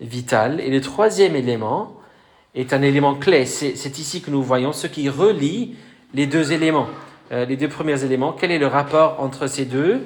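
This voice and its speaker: Against audible room echo, a man with a Welsh accent speaks fairly slowly at a fairly high pitch, with ordinary pitch variation. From Wales. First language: Welsh (speaking French). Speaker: pastor. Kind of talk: sermon. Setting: church. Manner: hesitant, many fillers.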